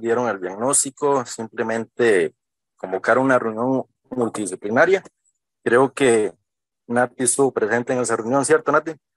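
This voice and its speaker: Recorded with a dry sound and no echo over a quiet background, a man speaks at a moderate pace. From Costa Rica. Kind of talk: testimony. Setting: video call. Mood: grateful, earnest. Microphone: video call.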